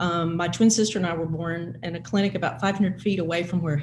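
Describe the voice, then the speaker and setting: A woman with a Mississippi accent, fairly low in pitch with ordinary pitch variation, at a very fast pace, amid noticeable background noise and audible room echo. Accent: Southern US (Mississippi). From US South, Mississippi Delta. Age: 60s. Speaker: panelist. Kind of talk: panel discussion.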